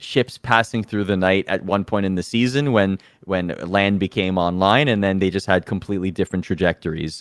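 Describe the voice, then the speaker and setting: At a moderate pace, a man with a fairly low pitch and an unremarkable speaking voice talks with fairly even intonation, the sound dry and close with no echo against a quiet background. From Toronto, Canada. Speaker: esports show host. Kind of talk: casual chat.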